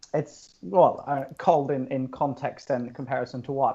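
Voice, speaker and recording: The voice has a dark, mellow tone and an Australian accent and moves at a moderate pace. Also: man. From southern Norway. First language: Norwegian. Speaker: yoga studio founder. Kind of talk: podcast interview. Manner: animated.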